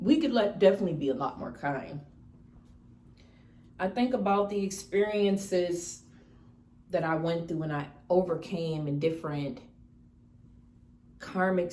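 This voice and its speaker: A woman talks at a moderate pace with a relaxed tone and fairly low pitch, her intonation lively. Long pauses come often, and the room echo is audible. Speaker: lifestyle vlogger. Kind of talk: casual mukbang vlog talk. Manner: relaxed, conversational with self-corrections.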